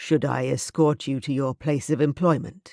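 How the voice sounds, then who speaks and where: A man's growling put-on character voice, fairly high in pitch, at a moderate pace with fairly even intonation, dry and close with no echo. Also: very clean recording, silent background. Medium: read story. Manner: mild, assured, commanding.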